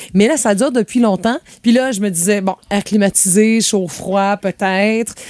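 Speaking in a Quebec accent, a woman talks at a fairly slow pace with medium pitch and ordinary pitch variation. The sound is dry and close, with no echo. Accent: Québécois French. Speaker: radio co-host and voice-over artist. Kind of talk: casual radio chat. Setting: radio studio.

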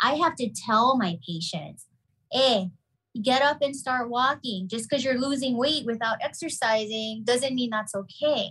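A woman speaks at a moderate pace in a high-pitched voice. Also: ordinary pitch variation. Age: 40s. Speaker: pharmacist and keto health practitioner. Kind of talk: casual chat.

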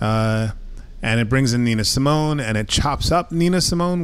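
A man at medium pitch, with audible room echo. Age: 40s. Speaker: musician. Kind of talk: interview. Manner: halting, many fillers.

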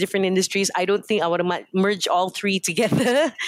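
This woman's pitch sits at a medium level. The recording is very clean, with a silent background. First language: Hokkien. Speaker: company founder and CEO. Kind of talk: radio interview. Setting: studio.

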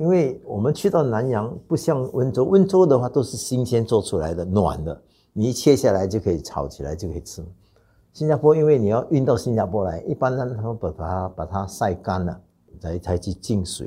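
A man with a dark, mellow tone and a somewhat breathy voice swings his pitch very widely over a quiet background. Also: medium pitch for a man, fairly quick pace. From Singapore. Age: 60s. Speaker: clan association president. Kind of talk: interview. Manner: hesitant with fillers.

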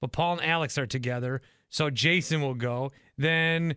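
Here a man talks with ordinary pitch variation. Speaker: radio host. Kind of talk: casual chat.

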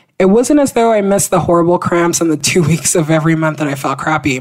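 The tone is animated. Delivery comes at a very fast pace. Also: woman. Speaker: podcast co-host. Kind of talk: casual chat.

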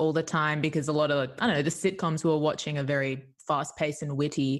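A woman speaks in an animated, enthusiastic tone at a fairly quick pace. The recording is very clean, with a silent background. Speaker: improv teacher and comedian. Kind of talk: casual interview chat.

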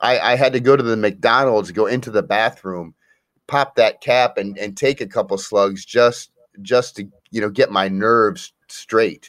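An ordinary speaking voice from a man at medium pitch, fairly slow in pace, with ordinary pitch variation, on a very clean recording with a silent background. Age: 40s. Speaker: guest, recovering alcoholic. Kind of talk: casual chat.

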